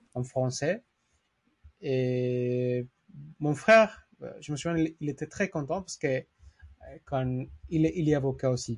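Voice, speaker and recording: A man with a Spanish accent talks very slowly at a fairly high pitch. He takes long, frequent pauses. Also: ordinary pitch variation. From Mexico. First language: Spanish (speaking French). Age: 30s. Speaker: lawyer. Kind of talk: interview. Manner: halting.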